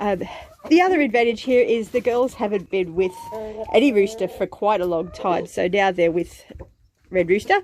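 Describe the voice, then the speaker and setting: Over noticeable background noise, a woman speaks at a fairly slow pace in a medium pitch, her pitch varying in an ordinary way. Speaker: homesteader vlogger. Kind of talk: casual vlog narration. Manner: hesitant, many fillers.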